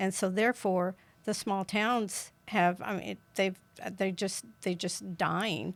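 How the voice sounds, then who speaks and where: In a very clean recording with a silent background, a woman speaks very slowly. She has a rural Kansas accent. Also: medium pitch for a woman, fairly even intonation. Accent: Midwestern American, rural Kansas. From US Midwest, rural southeast Kansas. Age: 70s. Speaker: political candidate. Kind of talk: interview.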